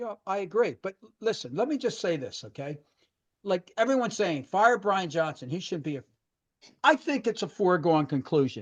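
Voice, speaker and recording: Speaking with an American accent, a man with a high pitch talks at a moderate pace, his pitch swinging very widely and his loudness rising and falling sharply, in a dry, close sound with no echo. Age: 60s. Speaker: sports podcast host. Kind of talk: casual sports talk. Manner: animated.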